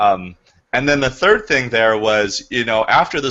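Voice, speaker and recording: At a fairly quick pace, the man's pitch shows ordinary variation. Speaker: real estate agent and trainer. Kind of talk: training session. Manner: fast.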